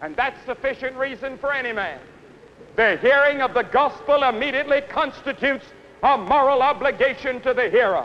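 A man with an American accent speaks in an intense tone at an extremely high pitch. He goes at a fairly quick pace over light background noise. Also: ordinary pitch variation. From United States. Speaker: evangelist preacher. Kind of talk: stadium sermon. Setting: outdoor stadium. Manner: earnest, intense, persuasive. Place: stadium. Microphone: podium.

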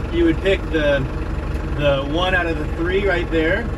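A man talks at a fairly slow pace over noticeable background noise. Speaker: instructor teaching tractor use. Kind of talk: tutorial. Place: farm machine. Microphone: phone near.

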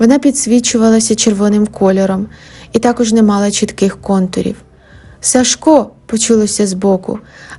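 The reading voice here sounds natural.

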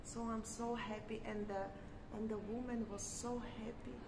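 A woman's voice over loud background noise. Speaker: vlogger. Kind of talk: casual chat. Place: street. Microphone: phone near.

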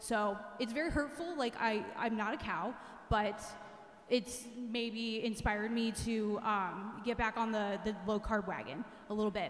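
Audible room echo surrounds a woman's fairly high-pitched voice. She speaks at a fairly slow pace. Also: ordinary pitch variation. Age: 40s. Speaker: religious education teacher. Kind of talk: retreat talk to teens. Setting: church with audience. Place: church. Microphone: handheld.

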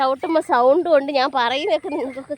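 A woman's high-pitched voice in a dry, close sound with no echo. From Kerala, Pathanamthitta area. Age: 30s. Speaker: vlogger. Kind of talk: casual vlog narration. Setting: outdoors.

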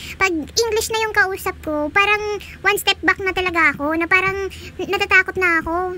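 In a raised, projected voice, the speaker goes at a fairly quick pace with fairly even intonation. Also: woman. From Visayas, Philippines. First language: Bisaya (Cebuano) (speaking Tagalog). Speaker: gaming YouTuber. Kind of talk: casual vlog talk; gameplay commentary. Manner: chatty, laughing.

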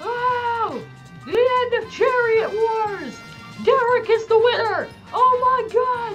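Over clear music in the background, a man does a put-on character voice at a very slow pace. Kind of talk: race caller commentary. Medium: game stream. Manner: excited, building to triumphant shouting.

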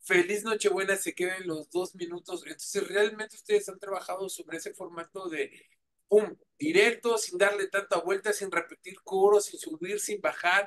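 Over light background noise, a man with a Mexican accent and a high pitch talks with fairly even intonation and big swings in loudness. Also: moderate pace. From Mexico. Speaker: radio host and interviewer; radio host, interviewer. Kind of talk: casual interview. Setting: remote video call.

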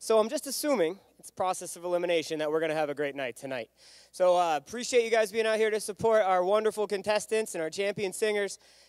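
A man at a very fast pace, with big swings in loudness, a dry sound with no echo and a quiet background. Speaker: event host. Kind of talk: emcee announcements. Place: stage. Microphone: handheld.

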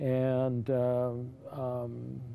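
In an American accent, a man is talking. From California. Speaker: senior center advocate and army veteran; interview guest. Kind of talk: interview. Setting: studio. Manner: halting. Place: studio. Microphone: lapel.

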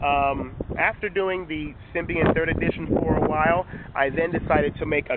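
A man's fairly high voice with ordinary pitch variation, a dry sound with no echo, and loud background noise. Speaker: tech reviewer. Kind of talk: casual talk to camera. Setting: outdoors, windy. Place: waterside. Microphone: phone near.

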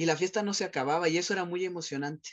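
A man talking at a very fast pace against a quiet background. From Mexico City. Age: 40s. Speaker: psychologist and sexologist; guest. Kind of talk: personal testimony interview. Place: office. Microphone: video call.

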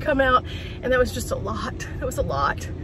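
The woman's voice sounds dry with no echo, with noticeable background noise behind her. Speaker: van life vlogger. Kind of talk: casual vlog chat. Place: car. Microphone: phone near.

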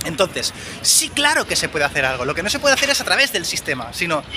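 A man's high voice, bright and sharp in tone, with big pitch swings over faint background noise

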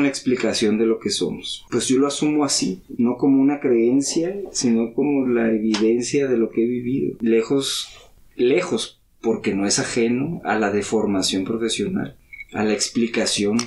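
A plain, everyday voice from a man at medium pitch, moderate pace and very even loudness. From Mexico City, later Baja California Sur. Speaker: listener, counselor-type professional. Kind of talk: casual chat over drinks.

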